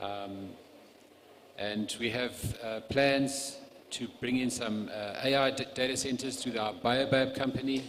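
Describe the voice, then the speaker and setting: Over noticeable background noise, a man speaks at a fairly slow pace in a medium pitch with fairly even intonation. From South Africa. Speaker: telecom infrastructure executive. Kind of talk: panel discussion.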